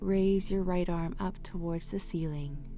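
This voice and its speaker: Over music in the background and audible room echo, a woman talks at a very slow pace in a fairly low pitch with fairly even intonation. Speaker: yoga instructor. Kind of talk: guided yoga class. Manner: calm, clear instructions.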